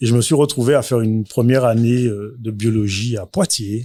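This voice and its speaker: A man talks at a medium pitch in a somewhat breathy voice with a dark, mellow tone. The sound is dry and close, with no echo. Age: 40s. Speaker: entrepreneur, restaurant owner. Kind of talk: interview. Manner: hesitant, many fillers.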